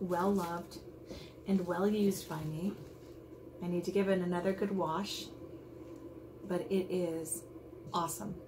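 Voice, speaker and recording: Amid noticeable background noise, a woman speaks at a fairly slow pace with fairly even intonation. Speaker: beauty vlogger. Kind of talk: unboxing video. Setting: at home, others in the house. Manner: quiet; casual, rambling with fillers. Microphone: may be too quiet.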